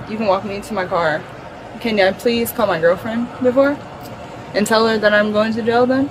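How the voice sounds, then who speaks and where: A moderate pace broken by long, frequent pauses, ordinary pitch variation, audible room echo and noticeable background noise. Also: woman. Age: 20s. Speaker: arrested driver. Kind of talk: argument with police. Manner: slurred speech; stuttering.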